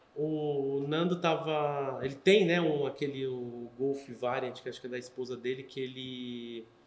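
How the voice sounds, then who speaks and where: Fairly high-pitched male speech, fairly slow and fairly even, with hardly any pauses and noticeable background noise. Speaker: podcast host. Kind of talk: casual chat.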